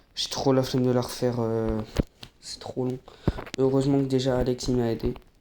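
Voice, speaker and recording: Soft-spoken and monotone, a man at medium pitch talks at a moderate pace with flat intonation over noticeable background noise. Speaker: gaming YouTuber. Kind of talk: gameplay commentary.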